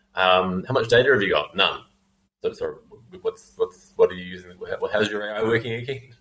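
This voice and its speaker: A man speaks with a New Zealand accent at a fairly quick pace. His loudness swings widely. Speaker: fintech founder and CEO. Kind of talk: podcast interview. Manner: halting, many fillers and repeats.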